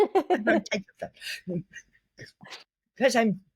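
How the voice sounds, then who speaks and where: A woman with an American accent speaks very slowly in a somewhat breathy, fairly high voice, her pitch swinging very widely in a dry, close sound with no echo. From Cleveland, Ohio. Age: 80s+. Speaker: artist and former ballet dancer. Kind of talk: interview answer.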